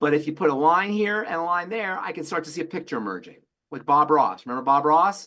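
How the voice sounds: A man with a fairly high pitch talks fast, his intonation lively and his tone bright and sharp.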